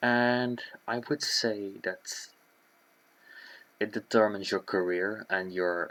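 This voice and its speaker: On a very clean recording with a silent background, the speech moves at a very slow pace. Intonation stays fairly even, broken by long, frequent pauses. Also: man, fairly low pitch for a man. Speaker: YouTuber. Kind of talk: presentation. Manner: stutter.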